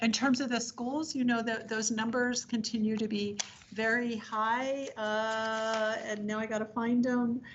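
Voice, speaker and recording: A woman's fairly high, somewhat breathy voice moves at a fairly slow pace with monotone, flat intonation. Room echo is audible. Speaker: public health official. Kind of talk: briefing to city council.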